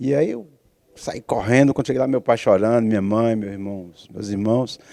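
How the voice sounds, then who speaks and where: Against a quiet background, a man speaks at a moderate pace and medium pitch. His tone is dark and mellow, his intonation fairly even. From Brazil, Bahia (Camaçari). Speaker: TV show host. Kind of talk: casual interview conversation.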